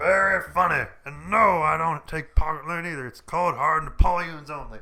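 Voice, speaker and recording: A man uses a put-on character voice at a fairly high pitch. His pace is moderate. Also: ordinary pitch variation. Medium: game stream. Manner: brusque, impatient.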